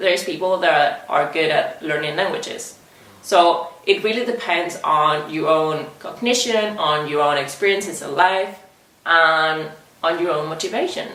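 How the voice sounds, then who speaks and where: Her fairly low pitch and Spanish accent set against audible room echo and noticeable background noise, a woman speaks at a fairly slow pace. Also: ordinary pitch variation. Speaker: language teacher and video host. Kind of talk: educational talk to camera. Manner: conversational, with fillers.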